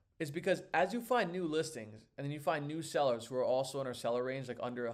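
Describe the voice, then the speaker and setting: Here a man speaks at a very fast pace. His pitch is fairly high, with lively intonation. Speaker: online seller and course teacher. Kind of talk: live tutorial. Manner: casual, filler-heavy.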